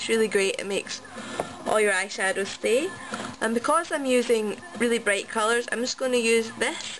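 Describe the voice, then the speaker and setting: A woman's high voice at a fairly quick pace, with noticeable background noise. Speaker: make-up tutorial vlogger. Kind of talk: casual tutorial talk to camera.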